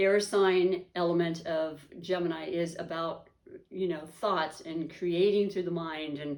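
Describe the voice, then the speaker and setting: A woman's fairly low voice in a monotone, flat intonation at a fairly slow pace, with audible room echo. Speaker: tarot reader. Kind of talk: tarot reading monologue. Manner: halting; chatty.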